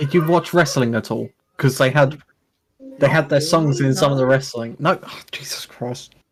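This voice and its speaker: Somewhat breathy and fairly high, a man's voice moves at a moderate pace with fairly even intonation and big swings in loudness. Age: 20s. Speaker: tabletop game player. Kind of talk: casual chat.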